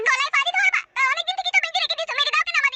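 A woman's cartoonish character voice at an extremely high pitch, very fast pace and very wide pitch swings, dry and close with no echo, with music in the background. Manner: sharp-tongued.

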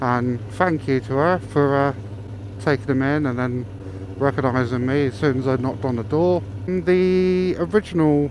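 A man speaking at a moderate pace, light background noise underneath. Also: dry sound with no echo. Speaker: motorcycle vlogger. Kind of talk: casual vlog chat. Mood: relaxed, chatty. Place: motorbike. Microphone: helmet.

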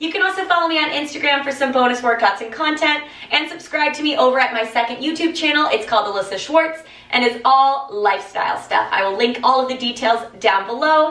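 A woman speaks in a raised, projected voice at a fairly quick pace, with audible room echo. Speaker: fitness instructor. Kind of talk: workout video outro. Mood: upbeat, friendly. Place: home room.

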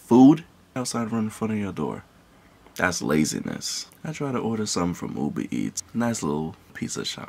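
A soft-spoken man at a moderate pace, fairly low in pitch, with very wide pitch swings. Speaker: vlogger. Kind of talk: casual rant to camera. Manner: soft-spoken, held back. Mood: irritated, ranting. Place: home room. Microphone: phone near.

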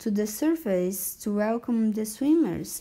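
Someone reads aloud in a natural voice, the intonation rising and falling in a lively way.

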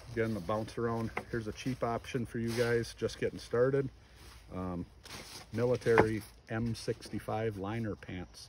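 A man speaks at a fairly slow pace, the sound dry with no echo, though background noise is noticeable. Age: 40s. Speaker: hunter and gear vlogger; gear vlogger. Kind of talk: casual gear review talk. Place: garden. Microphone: phone near.

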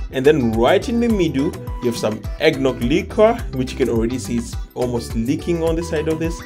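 Clear music sounds in the background as a man speaks at a moderate pace. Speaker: food travel vlogger. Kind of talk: casual vlog chat. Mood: delighted, enthusiastic. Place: cafe. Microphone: phone near.

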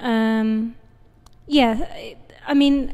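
With a British accent, a woman speaks in a dark, mellow tone at a fairly high pitch. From UK. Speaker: painter. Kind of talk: interview. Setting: artist's studio.

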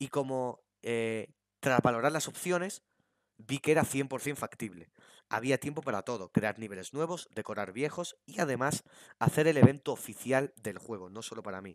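On a very clean recording with a silent background, a man with a normal speaking voice and a medium pitch talks at a moderate pace with lively intonation. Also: dry, close sound with no echo. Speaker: gaming YouTuber. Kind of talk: casual chat.

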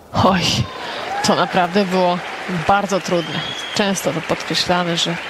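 There's noticeable background noise as a woman speaks at a moderate pace. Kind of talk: live sports commentary.

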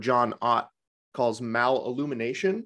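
A man with an American accent speaks at a fairly slow pace. The background is quiet. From US, Vermont. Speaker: Bates method vision teacher and podcaster; Bates method vision teacher, podcaster. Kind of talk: panel discussion answering questions. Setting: video call. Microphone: webcam.

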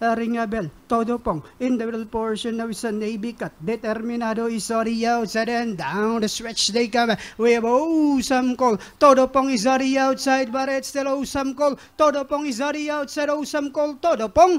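Speech moves at a fairly quick pace. Noticeable background noise runs underneath. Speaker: horse race caller. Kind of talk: live race call.

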